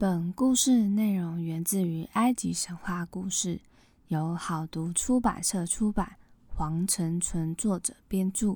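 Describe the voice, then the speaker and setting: A woman's somewhat breathy, medium-pitched voice at a very slow pace, with ordinary pitch variation. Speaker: podcast host, myth storyteller. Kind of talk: storytelling narration; casual chat.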